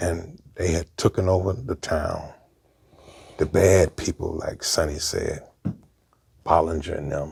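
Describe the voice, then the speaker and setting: Somewhat breathy, a man with an American accent speaks very deep and low at a fairly slow pace, with fairly even intonation and long, frequent pauses. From Brooklyn, New York. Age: 60s. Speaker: former gang member. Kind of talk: interview storytelling.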